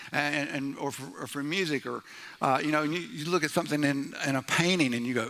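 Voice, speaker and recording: A man's loud, animated voice, fairly high and bright, sharp in tone, fairly quick, with ordinary pitch variation. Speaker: pastor. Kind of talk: sermon. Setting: church.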